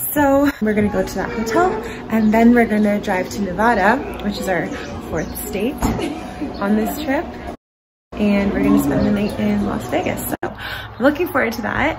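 Over clear background music, a woman speaks at a moderate pace with long, frequent pauses. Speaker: travel vlogger. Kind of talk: casual vlog chat. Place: home room. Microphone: phone near.

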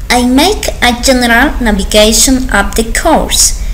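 A woman talks at a very slow pace with a high pitch and lively intonation over light background noise. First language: Spanish. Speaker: university language student. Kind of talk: academic presentation read aloud. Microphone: webcam.

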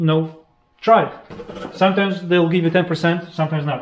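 A man's high-pitched voice with ordinary pitch variation and audible room echo. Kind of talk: casual explanation of costs. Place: workshop. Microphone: camera far.

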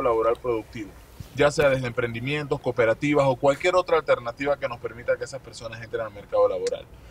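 A man's voice with ordinary pitch variation, dry sound with no echo, and light background noise. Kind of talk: interview answer. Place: car. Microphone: phone near.

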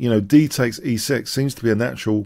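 A man speaks at a moderate pace. Behind him, the background stays quiet. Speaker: chess commentator. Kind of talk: commentary.

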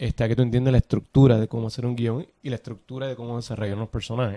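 Dry and close with no echo, a man with a Puerto Rican accent speaks at a medium pitch in a dark, mellow tone with fairly even intonation. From Puerto Rico. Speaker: actor and film director. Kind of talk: interview conversation.

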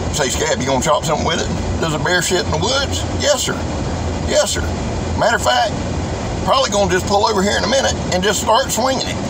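A man speaks at a very fast pace amid loud background noise. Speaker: knife reviewer. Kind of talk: casual vlog chat. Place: car. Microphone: phone near.

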